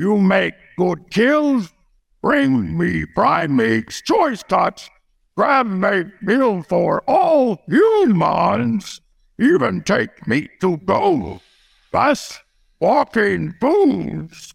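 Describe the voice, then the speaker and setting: A man puts on a character voice, high-pitched and very slow. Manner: broken simple speech, eager.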